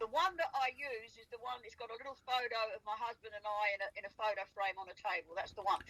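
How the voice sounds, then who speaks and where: A woman talks in an animated tone with an Australian accent, very fast and with hardly any pauses. Her fairly high pitch varies in an ordinary way, her loudness swings widely, and noticeable background noise sits behind her. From South Australia. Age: 80s+. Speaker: farmer recalling wildlife sightings. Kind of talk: casual chat.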